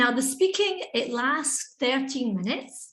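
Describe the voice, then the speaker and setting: A woman speaks at a fairly slow pace with a Scottish accent. Her tone is bright and sharp, and room echo is audible. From Scotland. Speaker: English teacher and webinar presenter. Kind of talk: educational webinar presentation. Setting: online video webinar. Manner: conversational, interactive.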